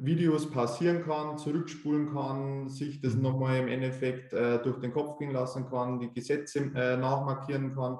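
This man talks at a fairly slow pace. His pitch is medium and his intonation fairly even. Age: 20s. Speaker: tax assistant preparing for tax adviser exam. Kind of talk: interview. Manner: hesitant with frequent fillers.

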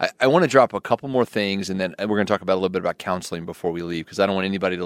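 A man with a very deep, low pitch is heard in a very clean recording with a silent background and a dry, close sound with no echo. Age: 40s. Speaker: counselor and podcast co-host. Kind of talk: casual chat.

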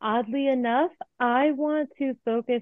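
This is a woman with a plain, everyday voice. She talks at a fairly slow pace with ordinary pitch variation. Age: 30s. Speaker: financial educator. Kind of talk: interview.

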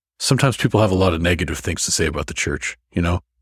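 On a very clean recording with a silent background, a man speaks with a very deep, low pitch and a somewhat breathy sound. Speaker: podcast host. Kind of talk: scripture study discussion. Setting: studio.

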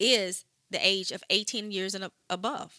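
With a bright, sharp tone and medium pitch, a woman speaks in a very clean recording with a silent background. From Louisiana, Shreveport. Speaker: nonprofit executive director. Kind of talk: interview.

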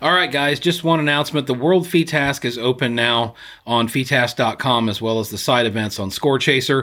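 A man's medium-pitched voice has a bright, sharp tone, ordinary pitch variation and a moderate pace. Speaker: podcast co-host and clay shooter. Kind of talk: casual chat. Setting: studio.

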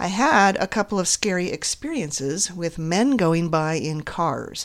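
A woman's fairly low voice, a plain, everyday voice, with lively intonation and a fairly slow pace. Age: 50s. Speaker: podcast host, counselor. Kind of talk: solo monologue, personal story.

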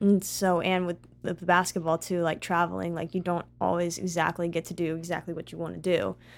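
A woman at a fairly low pitch and fairly quick pace, monotone and flat, with hardly any pauses, in a very clean recording with a silent background. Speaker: college basketball player. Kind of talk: casual interview chat.

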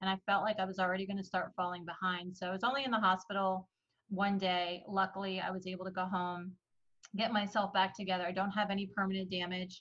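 In a New Jersey accent, a woman rattles along at a very fast pace, medium in pitch and monotone, flat in intonation. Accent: New Jersey American. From New Jersey, US (adopted from Iran as a baby). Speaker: business branding coach. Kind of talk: interview.

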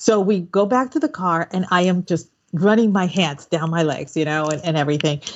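A woman has an ordinary speaking voice at medium pitch. She talks at a moderate pace. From Puerto Rico, then Texas from age nine. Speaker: podcast host. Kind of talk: casual chat.

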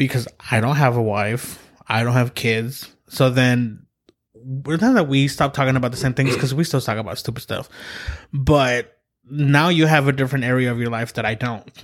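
A man with a normal speaking voice talks at a moderate pace and medium pitch, his intonation fairly even. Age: 30s. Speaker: podcast host. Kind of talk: casual chat. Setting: studio.

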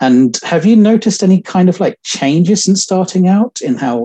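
A man's dark, mellow tone comes at a moderate pace in a dry, close sound with no echo. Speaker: interviewer. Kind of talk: interview. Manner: halting.

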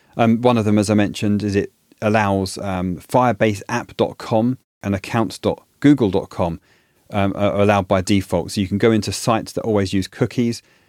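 A fairly low-pitched man with a British accent and fairly even intonation, on a very clean recording with a silent background and a dry, close sound with no echo. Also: fairly quick pace. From UK. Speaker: podcast host. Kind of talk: solo podcast monologue.

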